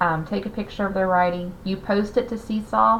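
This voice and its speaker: Fairly quick in pace, a woman talks in a fairly low voice with ordinary pitch variation. She has a slight Southern US accent. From US South. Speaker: teacher. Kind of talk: class orientation talk. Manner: hesitant with frequent fillers.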